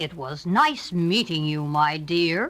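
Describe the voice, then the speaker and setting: A woman in a put-on character voice, fairly low in pitch, at a fairly slow pace. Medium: read story. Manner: falsely polite, sly.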